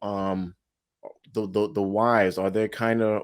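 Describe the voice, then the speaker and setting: A man speaks with a fairly low voice and fairly even intonation. The recording is very clean, with a silent background. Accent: New York. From New York City, Brooklyn. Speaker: interviewer. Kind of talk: interview.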